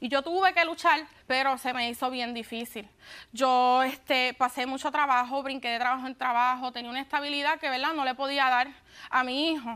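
A woman's raised, projected voice, high-pitched with a bright, sharp tone, at a fairly quick pace. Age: 20s. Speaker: litigant on a TV court show. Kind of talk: courtroom testimony. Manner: halting. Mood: upset, insistent. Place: studio.

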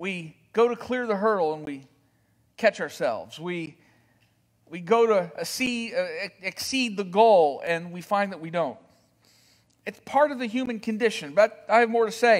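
A man with a high voice speaks at a moderate pace, his loudness swinging widely and his pitch varying in an ordinary way. Long, frequent pauses break up his speech against a quiet background. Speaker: pastor. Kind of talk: sermon. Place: church.

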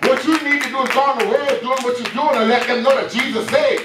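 Loud and animated, a man talks at a very fast pace with noticeable background noise and audible room echo. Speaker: preacher. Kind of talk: sermon. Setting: church. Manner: animated, call-and-response preaching, rising and urgent, pausing for 'Amen' replies; fervent, loud, exhortative. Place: church.

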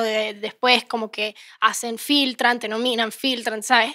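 Over a quiet background, a woman speaks in a high pitch with a bright, sharp tone and monotone, flat intonation. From Venezuela, raised in Miami; Venezuela. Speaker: singer-songwriter; guest. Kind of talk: casual interview chat. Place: studio. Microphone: handheld.

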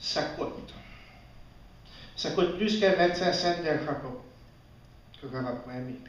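In a room with audible echo, a man speaks at a very slow pace with ordinary pitch variation and long, frequent pauses. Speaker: storyteller. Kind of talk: live storytelling performance. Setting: live audience, festival stage. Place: stage. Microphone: camera far.

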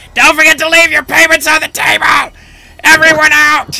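Shouting in a put-on character voice, a man hits an extremely high, shrill pitch at a moderate pace. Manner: screeching, shouting.

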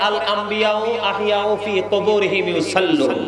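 A man is talking. Background noise is noticeable. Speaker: Islamic preacher giving a waz lecture. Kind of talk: waz religious sermon to an audience. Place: stage. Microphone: podium.

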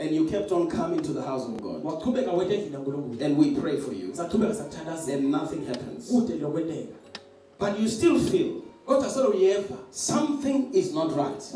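A man's voice at a fairly slow pace, with audible room echo and light background noise. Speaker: preacher. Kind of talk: sermon. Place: church.

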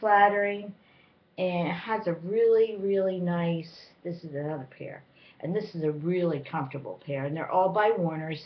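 Her voice is fairly low in pitch, an unremarkable speaking voice. The woman keeps a moderate pace with ordinary pitch variation. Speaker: vlogger. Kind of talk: casual haul review chat. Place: home room. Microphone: webcam.

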